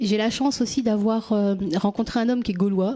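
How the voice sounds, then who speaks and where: Over a quiet background, a woman of medium pitch speaks at a fairly slow pace, somewhat breathy, with a dark, mellow tone and fairly even intonation. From France, born in Tunisia. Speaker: youth worker and activist. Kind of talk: personal testimony. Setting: stage with audience.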